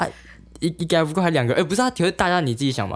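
Over a silent background in a very clean recording, a man speaks with very wide pitch swings. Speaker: podcast co-host. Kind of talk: casual chat. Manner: loud.

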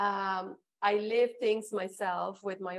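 In a Spanish accent, a woman speaks at medium pitch with monotone, flat intonation. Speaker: flight attendant turned author and entrepreneur. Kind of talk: interview. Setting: online livestream.

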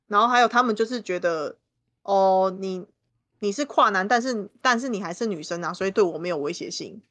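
Against a quiet background, a woman speaks at a fairly quick pace in an unremarkable speaking voice, medium in pitch with ordinary pitch variation. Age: 30s. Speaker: guest co-host and tarot reader. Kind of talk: casual chat.

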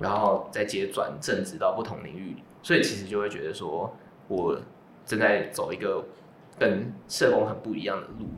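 A man talks at a moderate speed in a room with audible echo, with noticeable noise in the background. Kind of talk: casual chat.

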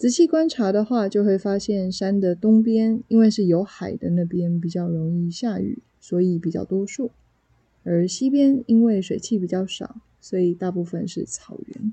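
A woman with a Taiwanese accent speaks at a fairly slow pace, her dark, mellow tone somewhat breathy, with ordinary pitch variation. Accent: Taiwanese Mandarin. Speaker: Mandarin teacher and podcaster. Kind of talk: solo podcast monologue for language learners. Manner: clear, measured pace for learners.

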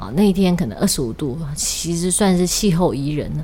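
With music playing behind her, a woman talks fairly quickly. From Taiwan, Kaohsiung. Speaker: podcast host. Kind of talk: casual chat.

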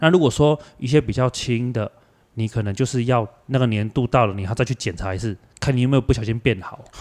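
A man with a Kaohsiung accent at a very fast pace, in a dry, close sound with no echo. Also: medium pitch for a man, ordinary pitch variation. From Taiwan, Kaohsiung. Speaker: visually impaired travel organizer and athlete. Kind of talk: casual chat.

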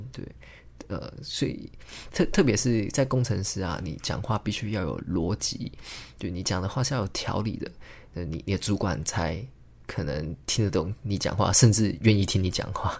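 A man talks at a moderate pace with a fairly low pitch and a somewhat breathy voice. The recording is very clean, with a silent background. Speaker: podcast host, engineer and amateur stand-up comedian. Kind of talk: solo casual monologue. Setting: home recording, alone at a microphone. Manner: hesitant, many filler words.

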